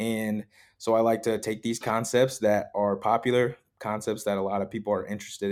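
A man speaks in a fairly low pitch with monotone, flat intonation. The recording is very clean, with a silent background. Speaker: fitness podcast host. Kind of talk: solo podcast talk. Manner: casual, conversational.

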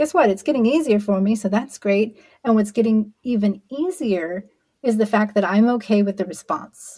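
A woman's fairly high, dark, mellow voice, somewhat breathy, at a moderate pace with ordinary pitch variation and very even loudness. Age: 40s. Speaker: podcast host, LGBTQ guest. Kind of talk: interview conversation.

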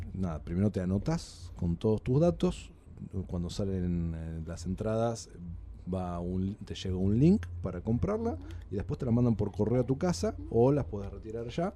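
In a Rioplatense accent, a man speaks at a fairly slow pace with a very deep, low pitch, a dark, mellow tone and ordinary pitch variation. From Argentina. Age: 30s. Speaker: podcast guest. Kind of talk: casual chat.

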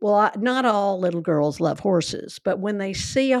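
This woman has an unremarkable speaking voice. Her intonation is lively and her pace moderate. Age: 60s. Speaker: podcast host. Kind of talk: casual storytelling conversation.

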